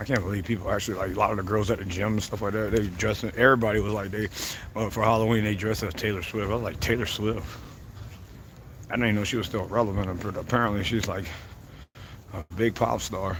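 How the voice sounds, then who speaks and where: With audible room echo behind him, a man talks at a very fast pace in a monotone, flat intonation, broken by long, frequent pauses. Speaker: livestreamer. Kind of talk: casual livestream monologue. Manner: loud.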